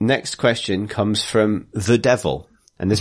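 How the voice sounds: A natural reading voice keeps its intonation fairly even against a quiet background.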